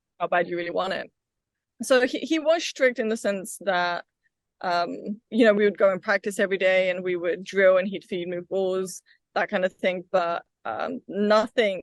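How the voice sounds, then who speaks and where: A woman with a British accent at a medium pitch and ordinary pitch variation, moderate pace, dry, close sound with no echo, quiet background. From England (London, Wimbledon), Bulgarian family. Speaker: pickleball player and tennis coach. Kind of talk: interview.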